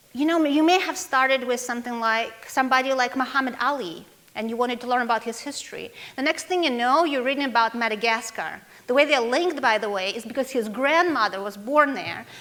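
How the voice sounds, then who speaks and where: Words come out at a very fast clip in a Russian accent. Noticeable background noise runs behind the voice. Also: woman, high pitch for a woman, ordinary pitch variation. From Russia, Moscow. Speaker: foundation executive director. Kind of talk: conference talk.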